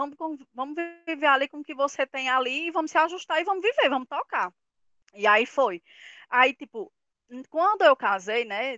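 A woman with a high pitch talks at a moderate pace, with lively intonation and big swings in loudness. She leaves long, frequent pauses. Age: 30s. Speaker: mother sharing experience on career and motherhood. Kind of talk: casual group conversation.

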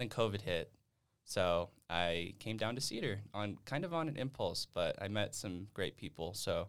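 A plain, everyday voice in an American accent, fairly slow, with lively intonation. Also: man, fairly low pitch for a man. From Nevada. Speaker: university student. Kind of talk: casual chat.

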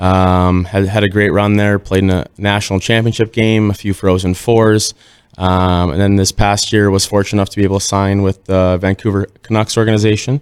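With an Upper Midwest accent, a man talks fairly quickly at a fairly low pitch in monotone, flat intonation, the sound dry and close with no echo. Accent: Upper Midwest American. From Minnesota (Northfield). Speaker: professional hockey player. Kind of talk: casual chat.

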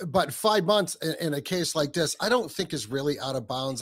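A man speaks at a moderate pace with lively intonation, on a very clean recording with a silent background. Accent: New England. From New England. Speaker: podcaster, co-host. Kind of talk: casual discussion.

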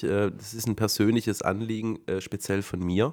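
A fairly slow pace and ordinary pitch variation on a very clean recording with a silent background. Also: man. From Swabia, southern Germany. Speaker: podcast host. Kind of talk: casual chat.

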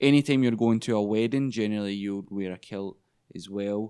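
Speaking in a Glaswegian accent, a man keeps a moderate pace, a fairly low pitch and fairly even intonation. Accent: Glaswegian Scottish. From Scotland, Glasgow. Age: 20s. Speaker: English teacher. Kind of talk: casual chat.

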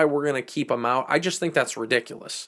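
In a very clean recording with a silent background, a man with a Boston accent speaks in a fairly high voice, his tone animated and his pitch varying in an ordinary way. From Boston area, Massachusetts. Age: 20s. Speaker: sports podcaster. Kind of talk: solo sports commentary. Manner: animated, opinionated.

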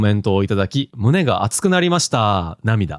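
A man with a Kansai accent, very wide pitch swings, a moderate pace, and a dry, close sound with no echo. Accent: Kansai Japanese. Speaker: manga podcast co-host. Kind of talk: casual chat.

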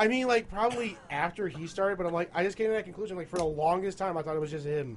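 The speaker talks at a very fast pace, with ordinary pitch variation. Noticeable background noise runs under the voice. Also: man, high pitch for a man. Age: 20s. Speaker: beer tasting podcast co-host. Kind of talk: casual chat.

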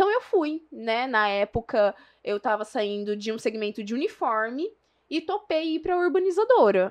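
With a Minas Gerais accent, a woman speaks at a moderate pace in a high pitch, swinging very widely in pitch against a quiet background. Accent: Minas Gerais (mineiro). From São José do Rio Preto, São Paulo state, Brazil. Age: 20s. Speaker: real estate marketing professional. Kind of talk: casual interview. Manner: talkative.

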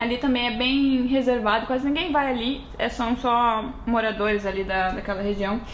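A woman with a high pitch speaks at a moderate pace with fairly even intonation. There is audible room echo and noticeable background noise. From Brazil, Rio Grande do Sul (western border near Uruguaiana). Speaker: podcast co-host. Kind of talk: casual chat.

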